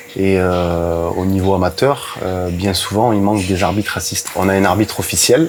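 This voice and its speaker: A man speaks at a moderate pace, with hardly any pauses and fairly even intonation. His very deep, low pitch comes through noticeable background noise. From southern France (Brignoles, Var). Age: 30s. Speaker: football referee. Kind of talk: interview. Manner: hesitant, many fillers.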